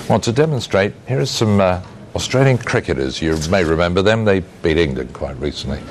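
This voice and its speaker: Very deep, low pitch from a man at a fairly quick pace, with very wide pitch swings and noticeable background noise. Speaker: TV news presenter. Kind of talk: TV news presenting.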